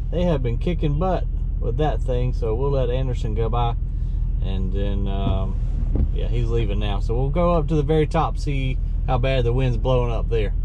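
Noticeable background noise sits behind a dry recording with no echo. A man speaks at a moderate pace. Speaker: landfill worker vlogger. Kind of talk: casual vlog chat. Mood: excited, cheerful. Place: car. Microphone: phone near.

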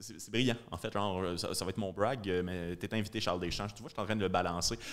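Here a man speaks in a Quebec accent. His pace is fairly quick and his pitch variation ordinary. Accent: Québécois French. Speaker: comedian and podcast host; comedian, podcast host. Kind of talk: casual chat. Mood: relaxed, laughing at times. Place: studio. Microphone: studio mic.

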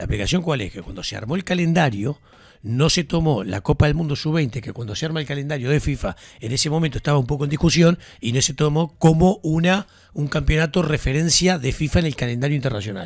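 Speaking at a very fast pace in a Uruguayan accent, a man with a fairly high pitch and lively intonation sounds somewhat breathy, recorded dry with no echo against a quiet background. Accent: Rioplatense Spanish (Uruguayan). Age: 50s. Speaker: sports radio host. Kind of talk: casual sports talk. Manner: animated. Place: studio. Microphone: studio mic.

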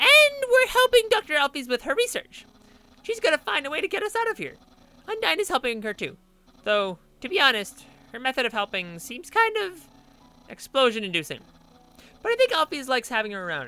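The speaker uses a put-on character voice at a fairly quick pace. Long pauses come often. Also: man, extremely high pitch for a man. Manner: grandiose, excitable.

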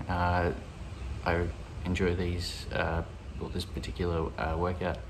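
Light background noise sits behind a man with a very deep, low pitch. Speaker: fitness vlogger. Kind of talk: casual workout vlog wrap-up. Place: garage. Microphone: phone near.

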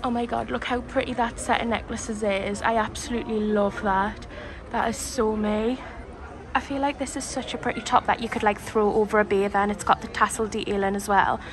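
Noticeable background noise sits behind a woman who speaks at a fairly quick pace with fairly even intonation. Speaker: shopping vlogger. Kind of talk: casual vlog chat. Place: shop.

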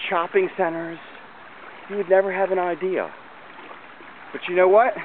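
With an American accent, a man speaks in a high voice, the sound dry with no echo and light noise behind him. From Maryland. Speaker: community volunteer organizer. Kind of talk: walking video narration; casual narration while filming. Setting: outdoors. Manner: casual, with fillers. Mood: admiring, enthusiastic. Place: waterside. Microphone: phone near.

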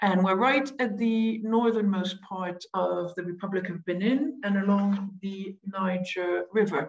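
At a fairly slow pace with hardly any pauses, a woman speaks in a somewhat breathy voice at a medium pitch with ordinary pitch variation. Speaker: researcher. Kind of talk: academic presentation. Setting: video call.

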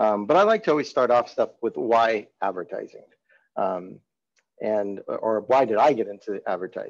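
A man at a moderate pace over a quiet background. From California (Salinas); California. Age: 50s. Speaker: marketing agency director and advertising professor; advertising professor. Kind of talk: webinar presentation. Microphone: webcam.

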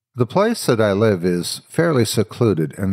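A man speaks at a moderate pace. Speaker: horror story narrator. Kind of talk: scripted horror story narration, first person ghost story telling. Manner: measured, matter-of-fact, building dread.

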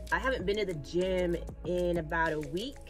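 Music sounds clearly in the background. Over it, a woman talks. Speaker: lifestyle vlogger. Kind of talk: casual vlog chat. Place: car. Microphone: phone near.

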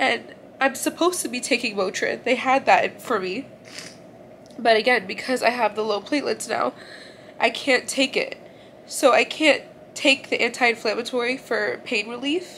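High-pitched woman's voice at a moderate pace, with ordinary pitch variation, long, frequent pauses, and light background noise. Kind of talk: emotional vlog confession. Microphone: phone near.

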